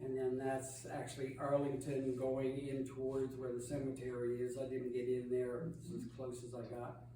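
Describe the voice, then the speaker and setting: Amid noticeable background noise and audible room echo, a man talks at a fairly slow pace with a medium pitch. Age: old. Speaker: travel presenter at church lunch. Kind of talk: illustrated slideshow talk. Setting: church hall with audience. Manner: loud, projecting.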